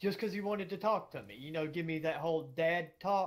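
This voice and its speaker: Someone with a Southern US accent talks at a fairly quick pace. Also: man. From US South, Georgia. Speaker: gaming streamer. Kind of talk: casual chat.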